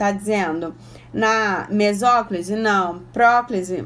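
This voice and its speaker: This woman's fairly high voice moves at a very slow pace. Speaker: Portuguese teacher for exam prep. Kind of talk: online exam-prep lesson. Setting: Instagram live stream.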